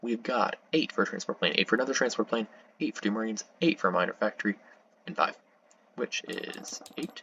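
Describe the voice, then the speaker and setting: Soft-spoken, a man talks at a fairly quick pace. Noticeable background noise runs underneath. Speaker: strategy game player. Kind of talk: gameplay commentary. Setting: home recording at night. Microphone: voice quiet, computer louder.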